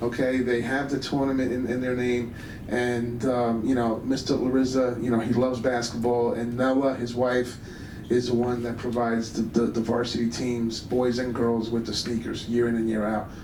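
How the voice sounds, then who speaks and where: In a room with audible echo and noticeable background noise, a man speaks at medium pitch and a moderate pace in a flat monotone. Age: 60s. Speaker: high school basketball coach. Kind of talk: award dinner speech. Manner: halting, many fillers and repetitions.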